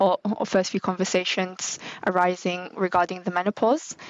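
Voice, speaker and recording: A woman speaks with a British accent. Her intonation is fairly even. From UK. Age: 20s. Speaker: marketing manager. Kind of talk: interview.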